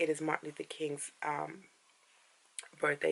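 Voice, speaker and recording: A woman talks with vocal fry at a very deep, low pitch. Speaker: vlogger. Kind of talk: casual vlog talk to camera. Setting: in bed at home.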